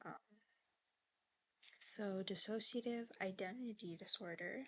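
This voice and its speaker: Her pace is very slow and her voice quiet. The woman's pitch is fairly high, with ordinary variation. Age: 20s. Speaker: video journaler. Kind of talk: video diary. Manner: halting.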